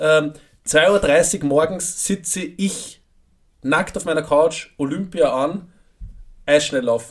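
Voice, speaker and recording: A man speaks at a very slow pace, with long and frequent pauses. His pitch is fairly high, with ordinary variation. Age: 20s. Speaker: podcast co-host. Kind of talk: casual chat.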